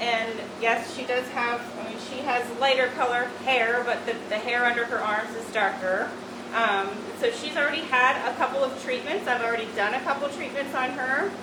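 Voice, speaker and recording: Loud and high-pitched, a woman speaks at a moderate pace with fairly even intonation. Audible room echo and noticeable background noise surround her. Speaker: medical spa doctor doing a treatment demo. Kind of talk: live treatment demonstration. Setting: treatment room, virtual open house video. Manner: hesitant, many fillers; speaking loudly over laser noise.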